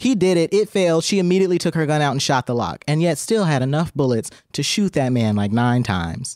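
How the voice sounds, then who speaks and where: A man talks very fast with lively intonation and hardly any pauses, his loudness very even. The recording is very clean, with a silent background. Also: fairly high pitch for a man. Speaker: podcast co-host. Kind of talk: casual banter podcast chat. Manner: nervous, joking.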